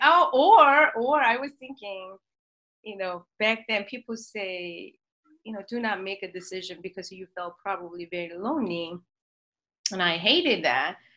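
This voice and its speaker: At a moderate pace and a medium pitch, a woman with a Korean accent uses lively intonation and a bright, sharp tone, her loudness swinging widely. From South Korea. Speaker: marriage and family therapist. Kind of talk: interview conversation.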